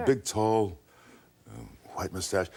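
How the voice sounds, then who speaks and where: Lively intonation and vocal fry mark a man's dark, mellow tone as he speaks at a moderate pace. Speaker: actor. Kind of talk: interview answer. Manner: slight stutter, hesitant.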